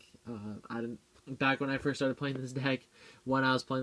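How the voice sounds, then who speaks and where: His intonation stays flat and monotone. This man talks at a medium pitch. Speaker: card game youtuber. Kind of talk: deck profile tutorial. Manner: fast.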